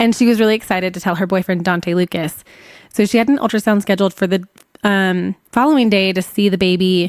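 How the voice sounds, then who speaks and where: On a very clean recording with a silent background and a dry, close sound with no echo, a woman talks very fast at medium pitch with ordinary pitch variation. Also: very even loudness. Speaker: podcast host. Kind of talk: true crime storytelling. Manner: casual, conversational.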